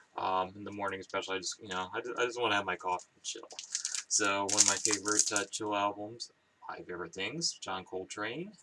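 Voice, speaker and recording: A man's fairly low voice at a fairly quick pace, with ordinary pitch variation and noticeable background noise. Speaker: record collector vlogger. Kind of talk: casual vlog chat. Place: home room. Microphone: webcam.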